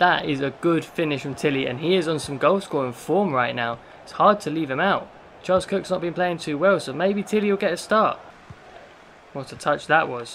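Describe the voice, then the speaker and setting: A fairly high-pitched man with an English accent, amid noticeable background noise. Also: ordinary pitch variation, moderate pace. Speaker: gaming youtuber. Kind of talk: gameplay commentary. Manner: animated.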